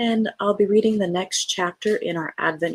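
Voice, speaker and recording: A woman's calm, soothing tone at a moderate pace, with fairly even intonation and a dry, close sound with no echo. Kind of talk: casual talk to camera, channel intro. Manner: calm, soothing, gentle reading; plain reading without dramatic character voices.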